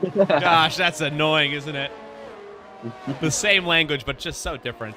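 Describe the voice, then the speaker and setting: Over music in the background, a man with an American accent speaks at a fairly high pitch with ordinary variation. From US, family from Texas. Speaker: sim racing commentator. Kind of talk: live commentary. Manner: casual, chatty.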